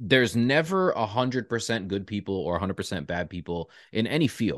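A man in a Canadian accent at a fairly quick pace, with very wide pitch swings and a quiet background. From Toronto area, Canada. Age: 30s. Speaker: podcast host. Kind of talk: casual interview.

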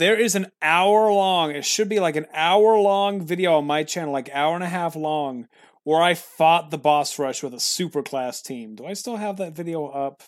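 This man's voice sits high in pitch and moves at a moderate pace with hardly any pauses, captured in a very clean recording against a silent background. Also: ordinary pitch variation. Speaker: podcast host. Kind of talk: casual chat. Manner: tired, talkative.

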